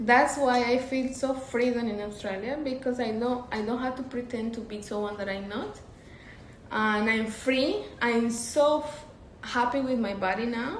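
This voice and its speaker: With a Colombian accent, a woman speaks at a high pitch and moderate pace with ordinary pitch variation, amid audible room echo and noticeable background noise. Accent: Medellin Colombian. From Colombia, Medellin. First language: Spanish. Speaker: interview guest. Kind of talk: casual interview chat.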